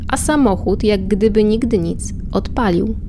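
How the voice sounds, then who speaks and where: A woman speaks over noticeable background noise. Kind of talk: scripted horror storytelling, read aloud as a spooky narration.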